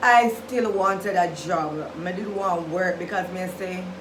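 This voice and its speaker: Audible room echo and noticeable background noise surround a woman speaking at a medium pitch with fairly even intonation. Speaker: vlogger, nurse. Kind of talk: storytime vlog.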